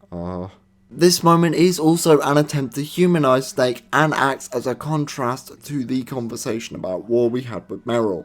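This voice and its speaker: In a British accent, a man speaks at a medium pitch with lively intonation. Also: moderate pace, big swings in loudness. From Britain. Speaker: gaming video reviewer. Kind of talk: comedic banter; scripted review narration.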